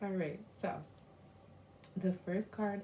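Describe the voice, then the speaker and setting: A woman whispering at a moderate pace. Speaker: tarot reader. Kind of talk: tarot reading to camera. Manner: casual, many fillers.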